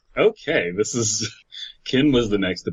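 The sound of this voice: Lively intonation in an unforced reading voice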